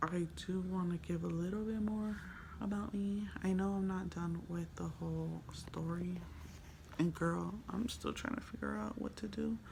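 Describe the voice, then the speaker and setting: There's noticeable background noise and audible room echo. A woman with an American accent speaks at a moderate pace. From Los Angeles, San Fernando Valley. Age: 20s. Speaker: vlogger. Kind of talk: casual vlog monologue. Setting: hotel room.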